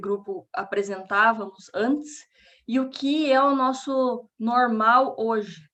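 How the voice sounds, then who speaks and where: With a Paraná accent, a woman speaks with ordinary pitch variation. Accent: Paraná Brazilian Portuguese. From Brazil, Paraná. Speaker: researcher giving a lecture. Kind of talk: lecture.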